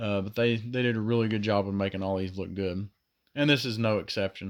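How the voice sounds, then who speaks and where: A man speaks in a Southern US accent. The recording is very clean, and the background is silent. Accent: southern drawl. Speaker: diecast toy collector youtuber. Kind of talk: casual product review. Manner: hesitant, many fillers and repeats.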